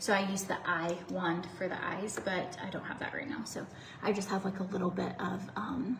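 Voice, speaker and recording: A woman with an American accent at a moderate pace, with audible room echo and noticeable background noise. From US South. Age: 30s. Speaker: beauty livestreamer. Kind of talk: casual chat. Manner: chatty.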